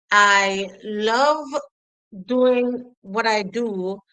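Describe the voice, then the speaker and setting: Speaking with a Jamaican accent, a woman uses a bright, sharp tone and fairly even intonation. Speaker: educator. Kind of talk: interview.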